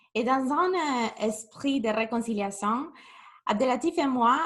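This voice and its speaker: The speaker has a strong Spanish accent, talking at a fairly slow pace with ordinary pitch variation. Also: woman. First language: Spanish (speaking French). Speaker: youth program manager. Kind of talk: webinar presentation. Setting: video call webinar.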